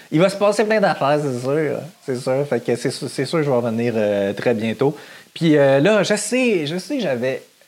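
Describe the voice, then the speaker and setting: A man's fairly slow delivery with lively intonation, in a Quebec accent. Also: fairly high pitch for a man. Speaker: podcaster. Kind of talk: casual monologue. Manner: animated.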